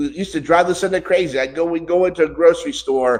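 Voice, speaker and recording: The man's pitch is high. His tone is animated. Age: 60s. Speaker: preacher. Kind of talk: sermon. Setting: church.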